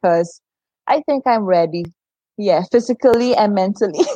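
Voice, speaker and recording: With a Surinamese accent, a woman speaks at a moderate pace in a medium pitch, her tone dark and mellow, the sound dry and close with no echo. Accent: Surinamese Caribbean English. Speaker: former volleyball player and coach. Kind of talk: casual interview chat. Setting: live-streamed video call.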